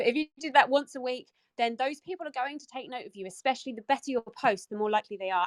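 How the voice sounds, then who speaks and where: In a British accent, a woman talks at a very fast pace with a high pitch and an animated tone, in a dry, close sound with no echo. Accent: non-American, British. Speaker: entrepreneur. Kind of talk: casual chat. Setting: audio chat room.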